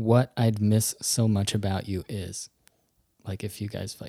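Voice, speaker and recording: In a very clean recording with a silent background, a man with an American accent speaks in a fairly low, somewhat breathy voice, with a dark, mellow tone and fairly even intonation. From US Virgin Islands. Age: 30s. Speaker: podcaster, artist and improviser. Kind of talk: casual chat.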